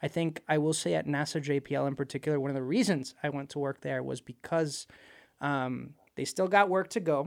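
With a Spanish accent, a man talks fairly quickly at a fairly high pitch with ordinary variation, the sound dry and close with no echo on a very clean recording with a silent background. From Puerto Rico. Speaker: space engineer. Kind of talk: casual interview chat. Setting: studio.

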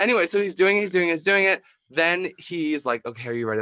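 With an American accent, a man speaks in a bright, sharp tone and lively intonation, recorded very cleanly against a silent background with a dry, close sound and no echo. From US Northeast, Philadelphia. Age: 20s. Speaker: drag performer. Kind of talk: casual chat.

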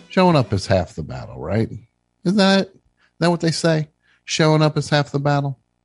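With an American accent, a man speaks at a fairly high pitch, somewhat breathy and with lively intonation, at a moderate pace. Long pauses come often, and the sound is dry and close with no echo. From New Jersey. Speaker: radio call-in show host. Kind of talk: call-in comedy show. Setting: studio.

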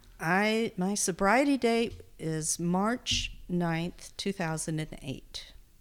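A woman with a Texan accent speaks at a very slow pace and medium pitch, with lively intonation and hardly any pauses. The recording is very clean with a silent background. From Texas. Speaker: podcast editor in recovery. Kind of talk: interview.

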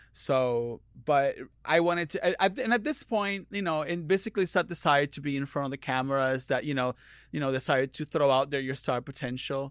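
Heard in a very clean recording with a silent background, a man with a Puerto Rican accent talks at a fairly quick pace, with a fairly high pitch and ordinary pitch variation. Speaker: drag performer. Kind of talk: casual comedic chat. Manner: chatty, loud when high.

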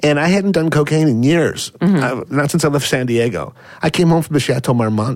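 This man has an ordinary speaking voice, fairly high in pitch with ordinary pitch variation, and he talks at a fairly quick pace with very even loudness. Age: 40s. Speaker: celebrity scandal fixer. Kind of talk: casual chat. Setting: studio.

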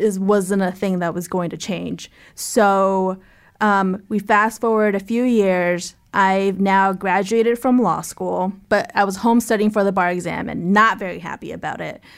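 In a very clean recording with a silent background, a woman with an ordinary speaking voice talks at a fairly slow pace, her pitch medium and her intonation fairly even. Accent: American. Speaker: podcast host. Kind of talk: casual interview.

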